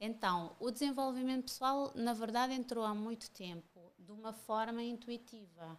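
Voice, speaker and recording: An unremarkable speaking voice at a moderate pace, with hardly any pauses, big swings in loudness, and ordinary pitch variation. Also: woman, fairly high pitch for a woman. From Cape Verde, Santo Antão island. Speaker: mentor and women's empowerment speaker. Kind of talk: podcast interview.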